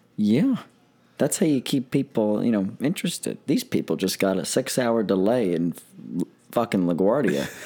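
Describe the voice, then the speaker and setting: A man's medium-pitched voice at a moderate pace, lively in intonation, with music in the background. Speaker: college student and part-time comedian. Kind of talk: casual chat. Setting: studio. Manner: halting.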